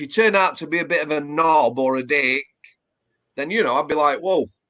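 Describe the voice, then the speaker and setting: Speaking with a Yorkshire accent, a man uses a fairly high pitch, ordinary pitch variation and a bright, sharp tone. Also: fairly quick pace. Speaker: former prison officer. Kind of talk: casual interview chat. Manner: hesitant with repeated words.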